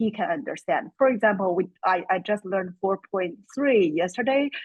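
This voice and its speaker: A woman speaks with a Chinese accent. Her pitch is fairly high with ordinary variation. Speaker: course student. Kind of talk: webinar Q&A comment.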